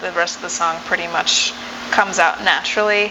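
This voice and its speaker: A woman's medium-pitched voice with an American accent and monotone, flat intonation over noticeable background noise. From mixed: Uganda, Ethiopia, then US for high school. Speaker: singer-songwriter. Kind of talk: interview.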